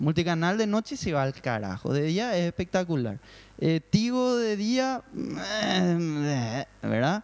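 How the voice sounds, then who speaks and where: A man's high-pitched voice with very wide swings in pitch. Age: 30. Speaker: online gaming company guest. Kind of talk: casual chat.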